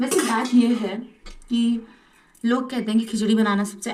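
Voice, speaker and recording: A fairly high-pitched voice belongs to a woman. There is a slight breathiness to it. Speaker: vlogger. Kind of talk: casual cooking vlog. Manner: chatty, rambling.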